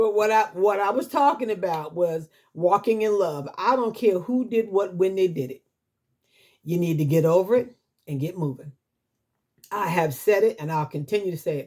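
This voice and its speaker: Lively intonation at a moderate pace, broken by long, frequent pauses. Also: woman, medium pitch for a woman. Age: 60s. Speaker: YouTuber sharing life advice. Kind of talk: casual vlog monologue.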